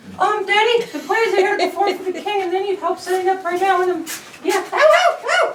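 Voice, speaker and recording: In a squeaky, put-on character voice at an extremely high pitch, a woman talks at a fairly quick pace with ordinary pitch variation, slight echo and clear background noise. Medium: stage play.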